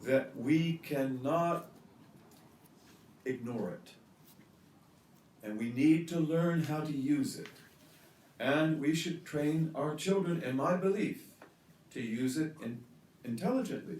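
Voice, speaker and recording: With an American accent, a man at a fairly high pitch speaks at a very slow pace with long, frequent pauses and audible room echo. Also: ordinary pitch variation. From US Midwest. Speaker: religious teacher. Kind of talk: lecture.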